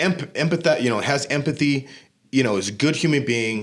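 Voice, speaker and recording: A man with an American accent talks at a fairly quick pace. His pitch is fairly high and his intonation lively. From Southern California. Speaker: gym manager and fitness business owner. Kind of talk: casual podcast interview. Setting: studio.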